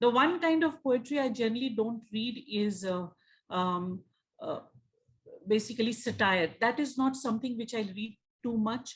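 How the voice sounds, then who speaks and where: A woman with an Indian accent speaks at a moderate pace. Her voice is fairly high, with ordinary pitch variation. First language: Hindi. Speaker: magazine editor and party secretary. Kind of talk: interview. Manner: halting, many fillers.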